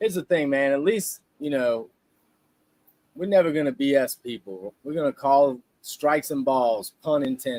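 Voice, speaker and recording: Lively intonation marks this man's Louisiana accent. He keeps a moderate pace in a dry, close sound with no echo. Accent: Southern US, Louisiana. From South Louisiana. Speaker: live stream co-host. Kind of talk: casual live stream chat. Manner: animated.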